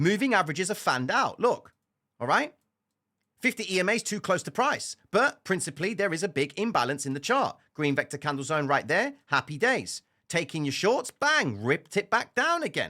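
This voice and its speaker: A man with a high pitch uses a raised, projected voice on a very clean recording with a silent background. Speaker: trading educator. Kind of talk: tutorial. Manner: fast, clipped; loud, emphatic.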